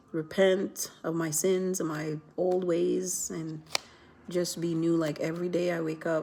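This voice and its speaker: A soft-spoken woman talks fairly slowly in a fairly low, monotone voice with flat intonation. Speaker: vlogger. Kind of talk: casual vlog chat. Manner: soft-spoken, keeping voice low; rambling, many fillers.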